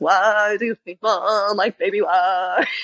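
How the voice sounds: This is a put-on character voice at a fairly high pitch. It moves at a fairly slow pace.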